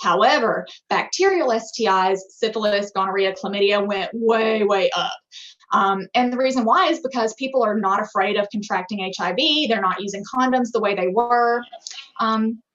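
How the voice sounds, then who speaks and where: A woman speaks in an unremarkable speaking voice, fairly high-pitched, with ordinary pitch variation at a moderate pace. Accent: American. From US South, rural Alabama. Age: 20s. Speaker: physician assistant. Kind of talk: lecture.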